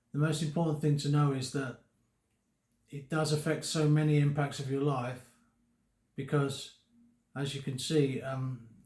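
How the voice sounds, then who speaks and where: Flat, monotone intonation runs through this voice. There is a somewhat breathy quality to it. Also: man. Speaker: vlogger living with Parkinson's. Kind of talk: personal vlog talk to camera. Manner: slurred speech; halting, many fillers and repetitions.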